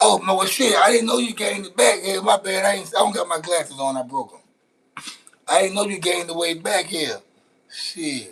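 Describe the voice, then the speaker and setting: A man with an American accent speaks at a fairly quick pace, his voice pitched high and his intonation varying in an ordinary way. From Louisiana. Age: 40s. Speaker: live streamer. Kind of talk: casual live stream chat while cooking. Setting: outdoors grilling, live stream. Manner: casual, slangy, repetitive.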